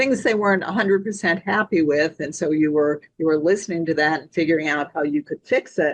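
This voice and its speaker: A woman's plain, everyday voice, fairly low in pitch and fairly quick, with ordinary pitch variation and big swings in loudness. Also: hardly any pauses. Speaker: sales trainer and podcast host. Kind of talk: podcast interview question.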